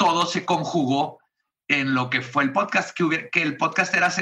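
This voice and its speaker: This man has a plain, everyday voice, pitched fairly high, moving at a moderate pace with ordinary pitch variation. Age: 30s. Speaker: comedian and podcast host. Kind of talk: casual interview chat.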